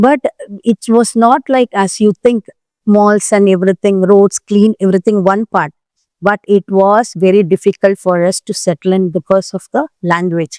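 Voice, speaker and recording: A woman with an Indian accent speaks in a dark, mellow tone with ordinary pitch variation, the sound dry and close with no echo. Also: medium pitch for a woman, moderate pace. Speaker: president of a diaspora community club, long-time expatriate. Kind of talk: interview answer, recounting personal history. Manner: conversational, reflective.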